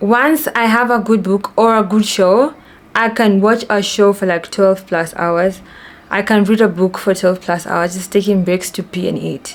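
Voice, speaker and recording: A woman speaks at a fairly slow pace with fairly even intonation over noticeable background noise. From Kenya, Nairobi. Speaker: vlogger. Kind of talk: casual chat.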